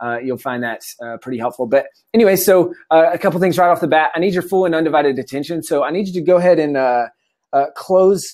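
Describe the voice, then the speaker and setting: A man with an American accent talks at a very fast pace in a fairly high voice. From US South, South Carolina. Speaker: entrepreneur and online course instructor. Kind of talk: webinar presentation. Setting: live webinar, video stream. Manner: many filler words.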